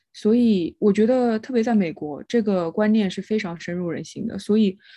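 Against a quiet background, a woman speaks with a dark, mellow tone at a medium pitch. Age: young. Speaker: podcast co-host. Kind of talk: casual chat.

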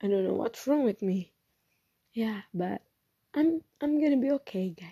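Somewhat breathy speech with lively intonation moves at a moderate pace, with long, frequent pauses. The sound is dry and close with no echo. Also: woman, fairly high pitch for a woman. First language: Indonesian. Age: 20s. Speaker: podcaster. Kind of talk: personal monologue. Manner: halting.

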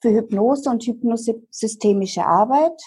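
An unremarkable speaking voice proceeds at a moderate pace with ordinary pitch variation. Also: woman. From eastern Germany, Dresden. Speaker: hypnotherapist. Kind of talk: interview.

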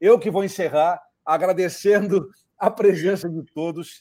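The man's pitch is high. His pitch variation is ordinary. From Rio Grande do Sul, Brazil (Cruz Alta). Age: 50s. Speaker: career and employability consultant. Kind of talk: casual live-stream interview.

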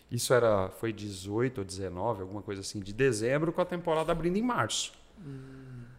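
A man's unremarkable speaking voice, medium in pitch, with lively intonation, a moderate pace and big swings in loudness. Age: 40s. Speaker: racing driver and entrepreneur. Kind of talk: casual interview chat.

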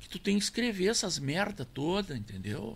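A man's high-pitched voice at a moderate pace on a very clean recording with a silent background. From Rio Grande do Sul, Brazil (near Tupanciretã). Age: 70s. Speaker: accordion player and record label founder. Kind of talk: casual interview.

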